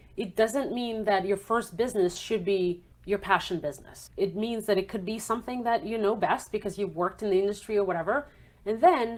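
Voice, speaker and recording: A woman with a non-native accent, fairly high in pitch, at a moderate pace. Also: very clean recording, silent background. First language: not English. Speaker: accountant and entrepreneurship author. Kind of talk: podcast interview. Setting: podcast.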